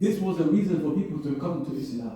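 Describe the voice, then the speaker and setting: A man's fairly quick speech with very wide pitch swings and audible room echo. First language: not Arabic. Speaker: Islamic lecturer. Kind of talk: religious lecture. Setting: venue with live audience. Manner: conversational, interactive.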